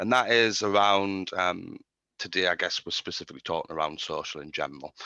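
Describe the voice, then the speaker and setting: Dry and close with no echo over a quiet background, a man with a British accent speaks at a fairly quick pace. His pitch is fairly low, with ordinary variation. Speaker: marketing agency speaker. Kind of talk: webinar presentation. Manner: hesitant, many fillers.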